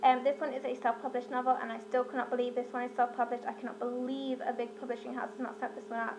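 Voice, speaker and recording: A woman with a British accent talks very fast in a high voice over noticeable background noise. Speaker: book vlogger. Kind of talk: casual book review monologue. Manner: animated.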